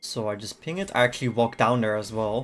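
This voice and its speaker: A man's voice sits at a medium pitch. Music can be heard behind him. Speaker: gaming streamer. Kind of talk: gameplay commentary. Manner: fast; casual.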